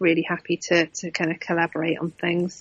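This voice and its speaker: A woman speaks with an English accent. Her fairly low pitch stays in a monotone, flat intonation. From UK. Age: 40s. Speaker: adventure racer. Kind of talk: casual chat.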